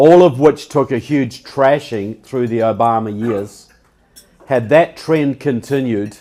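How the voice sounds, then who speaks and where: A man speaks at a fairly slow pace in a New Zealand accent. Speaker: public speaker and author. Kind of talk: public speech. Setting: stage with audience.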